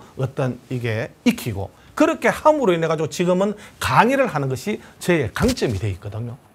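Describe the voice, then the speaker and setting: Very wide pitch swings mark this man's speech. He talks at a fairly quick pace. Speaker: lecturer. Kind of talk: lecture. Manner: confident, composed.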